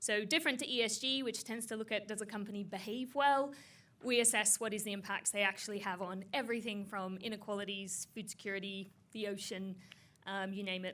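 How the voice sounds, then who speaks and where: Fairly even intonation marks the woman's fairly quick speech. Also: medium pitch for a woman. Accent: Australian. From Australia. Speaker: tech founder. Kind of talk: panel discussion. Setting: stage with audience.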